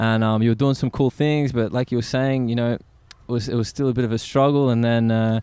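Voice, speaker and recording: Delivered at a fairly quick pace with very even loudness, the voice has a dark, mellow tone and an Australian accent. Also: man, medium pitch for a man. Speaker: podcast host. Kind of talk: casual interview. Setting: outdoors at a skate spot. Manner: animated.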